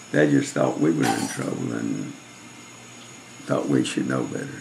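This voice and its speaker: A man with a Southern US accent at a moderate pace, over noticeable background noise. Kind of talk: casual family reminiscing.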